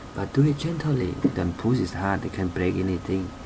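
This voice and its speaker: A man with a non-native accent talks at a moderate pace with lively intonation and a fairly low pitch. Noticeable background noise and audible room echo surround his voice. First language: not English. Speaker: car repair hobbyist. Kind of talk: tutorial. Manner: halting.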